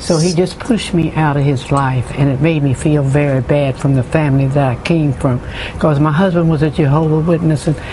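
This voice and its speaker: The speech runs at a fairly quick pace with hardly any pauses, very even loudness and fairly even intonation. Noticeable background noise sits behind it. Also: woman, very deep, low pitch for a woman. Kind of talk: interview answer.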